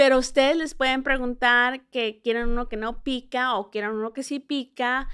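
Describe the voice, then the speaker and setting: A woman's high voice with a non-native accent at a fairly slow pace, in a very clean recording with a silent background. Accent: Spanish slightly rusty, may mispronounce. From central California and small-town Texas, Mexican parents. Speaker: tourism communications director and podcast host. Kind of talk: informal travel guide explanation.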